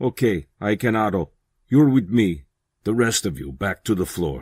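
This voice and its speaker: A man's soft-spoken, growling put-on character voice, fairly low in pitch, with very wide pitch swings at a moderate pace. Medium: read story. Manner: stern, unemotional, quiet.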